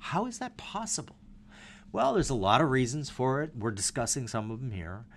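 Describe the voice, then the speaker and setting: A man with an American accent at a fairly quick pace, medium-pitched, his pitch swinging very widely. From Minnesota, US. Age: 50s. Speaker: investor. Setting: in person at office. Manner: halting.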